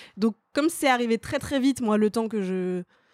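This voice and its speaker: In an ordinary speaking voice, a woman talks at a moderate pace with a fairly high pitch. The recording is very clean, with a silent background. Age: 30s. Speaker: stand-up comedian and screenwriter. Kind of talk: casual chat.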